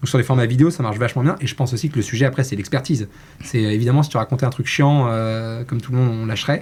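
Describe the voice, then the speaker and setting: Speaking very fast, the man sounds somewhat breathy, his intonation fairly even. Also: medium pitch for a man. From Brittany, France. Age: 30s. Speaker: marketing executive. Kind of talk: casual interview.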